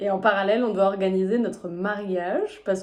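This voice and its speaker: Speaking at a fairly quick pace in a normal speaking voice, a woman keeps a medium pitch and fairly even intonation. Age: 20s. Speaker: physiotherapist, reality show applicant. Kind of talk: casual self-presentation video.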